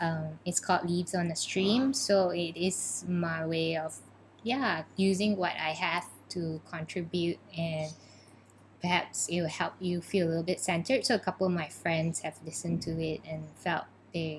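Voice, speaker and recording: The speaker is somewhat breathy, keeping a moderate pace with ordinary pitch variation. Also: woman, fairly low pitch for a woman. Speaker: podcast co-host, therapist. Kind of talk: casual chat.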